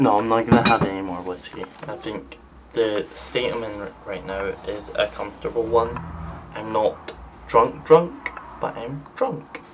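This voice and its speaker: Amid noticeable background noise, a man talks at a fairly slow pace with big swings in loudness. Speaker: gaming streamer. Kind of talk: live gameplay stream chat. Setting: live stream, sitting down. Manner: casual, halting with fillers.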